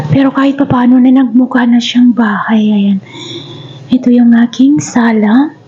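A woman with a high pitch speaks at a fairly slow pace, her pitch varying in an ordinary way. Her loudness stays very even, and there is noticeable background noise. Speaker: vlogger, overseas worker. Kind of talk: house tour vlog. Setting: walking through own house.

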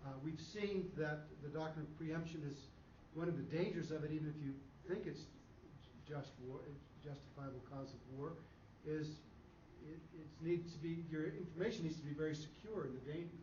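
The tone is dark and mellow, with ordinary pitch variation at a moderate pace. Room echo is audible. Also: man, fairly high pitch for a man.

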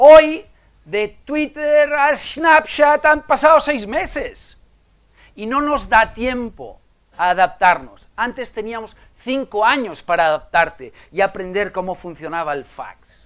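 A man's extremely high voice with very wide pitch swings at a very slow pace, over a quiet background. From Menorca, Spain; Spain. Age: 50s. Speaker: innovation consultant and conference speaker; conference speaker. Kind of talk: conference talk. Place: hall.

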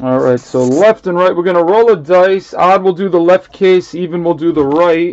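A man speaks at a moderate pace with hardly any pauses. His pitch varies in an ordinary way. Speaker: card break host. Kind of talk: live stream commentary. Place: home room. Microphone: webcam.

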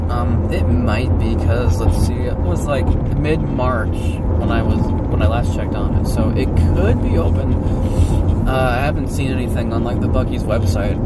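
A man at a moderate pace, ordinary pitch variation, dry sound with no echo and music in the background. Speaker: car wash vlogger. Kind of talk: casual vlog chat. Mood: relaxed, upbeat. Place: car. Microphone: phone near.

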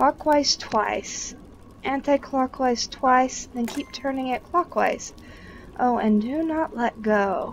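A woman talks at a very slow pace. Her voice is high-pitched, with ordinary pitch variation. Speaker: gaming video creator. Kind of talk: casual let's-play chat. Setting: voice chat recording across continents.

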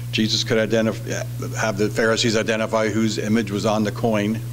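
The speaker is a man at a moderate pace. Light background noise can be heard. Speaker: preacher. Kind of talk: sermon. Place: church. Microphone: podium.

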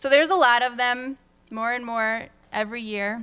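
The voice is a woman's. She talks at a fairly slow rate. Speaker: presenter. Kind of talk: conference talk. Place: hall.

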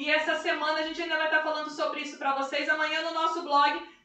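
A woman talks at a very fast pace with a high pitch and monotone, flat intonation. The background is quiet, but the room echo is audible. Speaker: live stream host. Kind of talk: live stream talk and religious introduction. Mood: warm, devotional. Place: kitchen.

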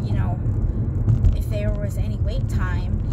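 Loud background noise fills the clip. The sound itself is dry with no echo. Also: woman. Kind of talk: casual family chat. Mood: chatty, mildly frustrated story. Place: car.

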